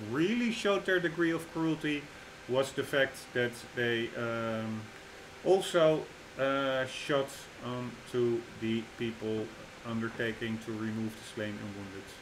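Through noticeable background noise, a man speaks at a fairly slow pace with ordinary pitch variation. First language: not English. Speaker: gaming YouTuber. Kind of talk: gameplay commentary. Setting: home recording. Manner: hesitant, many fillers.

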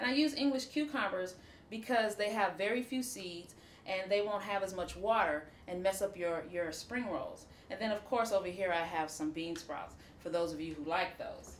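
A woman at medium pitch, moderate pace and ordinary pitch variation, with audible room echo

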